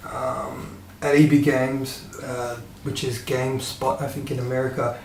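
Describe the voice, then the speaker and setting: A man talks at a moderate pace and medium pitch in an Australian accent. His intonation is monotone and flat, with noticeable background noise and audible room echo. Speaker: gaming youtuber. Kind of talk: casual monologue to webcam. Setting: home room, webcam. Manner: hesitant, many fillers.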